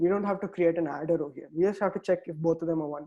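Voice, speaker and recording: Against a quiet background, a dark, mellow tone carries fairly even intonation. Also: man. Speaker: quantum computing instructor. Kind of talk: online tutorial lecture. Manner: fast.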